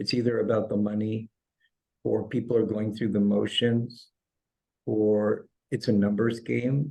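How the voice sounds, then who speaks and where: A man at a medium pitch, talking at a fairly slow pace. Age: 60s. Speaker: chiropractor and holistic healer. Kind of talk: interview.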